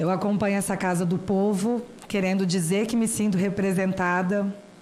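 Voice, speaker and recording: In a room with audible echo, a woman speaks at a medium pitch and moderate pace, her intonation monotone and flat and her loudness very even. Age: 30s. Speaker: citizen speaker at a senate hearing. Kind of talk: formal public testimony.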